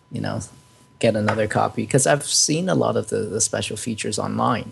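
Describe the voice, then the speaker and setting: Behind this voice there is noticeable background noise. A man speaks at a moderate pace. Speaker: film fan discussing DVD release. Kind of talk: casual chat.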